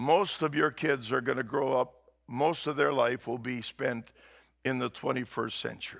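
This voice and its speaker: A normal speaking voice at a moderate pace, with fairly even intonation. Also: man, medium pitch for a man. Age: 60s. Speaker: pastor. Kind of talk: sermon. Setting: church.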